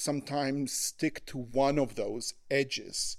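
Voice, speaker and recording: In an Israeli accent, a man speaks at a very slow pace with a fairly high pitch. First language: Hebrew. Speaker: human rights lawyer. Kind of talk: podcast interview. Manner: halting, many fillers and repetitions.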